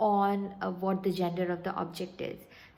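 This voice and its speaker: There is audible room echo as a woman of medium pitch speaks at a moderate pace. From India, Calcutta. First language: Bengali. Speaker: vlogger. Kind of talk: casual vlog talk. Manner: halting, many fillers and restarts.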